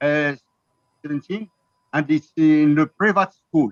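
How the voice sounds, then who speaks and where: An Arabic accent in a dry, close sound with no echo. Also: man. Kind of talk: business webinar talk. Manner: halting.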